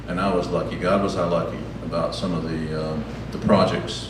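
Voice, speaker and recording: A man speaks with ordinary pitch variation. Audible room echo and noticeable background noise come through. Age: 70s. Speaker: storyteller at a live event. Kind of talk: personal storytelling to an audience. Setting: stage with audience. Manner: halting, many fillers.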